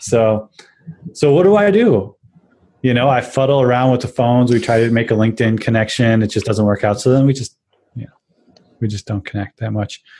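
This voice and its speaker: A man with a Chicago accent and a dark, mellow tone, medium in pitch with ordinary variation, talking at a fairly quick pace broken by long, frequent pauses. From Chicago, US. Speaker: tech podcast co-host. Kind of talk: casual chat.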